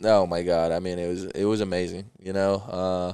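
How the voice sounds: Low-pitched and moving little in pitch, a man speaks at a moderate pace with a dark, mellow tone that is also clear and smooth, captured on a very clean recording with a silent background.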